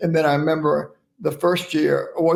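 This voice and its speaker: This man speaks with a Southern US accent. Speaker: oral pathology professor and speaker. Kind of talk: interview storytelling.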